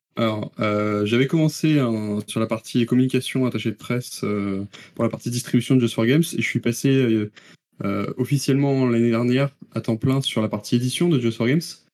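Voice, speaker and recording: Speaking in a plain, everyday voice, a man keeps a moderate pace and medium pitch with fairly even intonation. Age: 20s. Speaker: video game producer. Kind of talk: interview.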